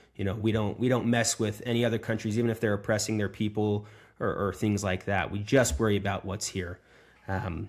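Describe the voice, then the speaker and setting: A man talks at a fairly quick pace in a fairly low pitch with an American accent. His intonation stays monotone and flat. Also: very clean recording, silent background. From United States. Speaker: podcast host. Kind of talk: interview. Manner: halting, many fillers.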